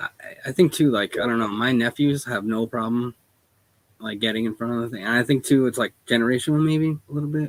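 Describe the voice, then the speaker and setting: A man speaks quietly. His pace is very fast. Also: medium pitch for a man, ordinary pitch variation. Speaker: small business owner. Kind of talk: casual chat.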